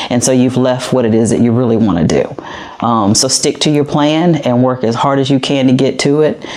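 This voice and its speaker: Against noticeable background noise, a woman speaks at a fairly quick pace with an American accent. Her pitch is very deep and low, and her loudness stays very even. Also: ordinary pitch variation. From US South. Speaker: police captain. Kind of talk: podcast interview.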